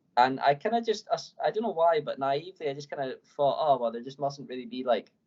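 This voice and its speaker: A man with an Edinburgh accent at a fairly quick pace. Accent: Scottish (Edinburgh). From Scotland, Edinburgh. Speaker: professional climber. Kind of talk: podcast interview. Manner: casual, many fillers.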